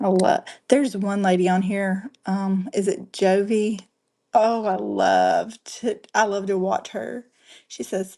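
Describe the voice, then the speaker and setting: A woman's dark, mellow, medium-pitched voice in a Southern US accent. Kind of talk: live selling stream. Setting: livestream on camera. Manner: casual, chatty.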